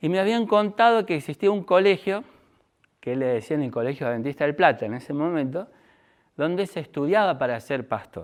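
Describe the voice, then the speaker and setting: Speaking at a fairly quick pace, a man with a fairly high voice makes very wide pitch swings. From Argentina, Córdoba. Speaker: speaker giving testimony. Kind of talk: testimony.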